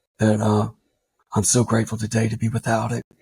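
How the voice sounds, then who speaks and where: A man's somewhat breathy voice at medium pitch, recorded dry and close with no echo. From Louisiana. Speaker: army veteran. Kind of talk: testimony.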